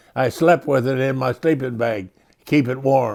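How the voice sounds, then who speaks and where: A man speaks at a moderate pace with a Midwestern accent. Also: very clean recording, silent background. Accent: American Midwestern. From rural Illinois and Colorado, USA. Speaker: World War II veteran. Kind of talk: interview answer.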